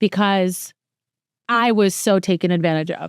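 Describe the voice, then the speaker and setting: In an animated tone, a woman speaks at a medium pitch with a dry, close sound, no echo, and a very clean recording with a silent background. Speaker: podcast host. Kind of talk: casual chat. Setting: rented home.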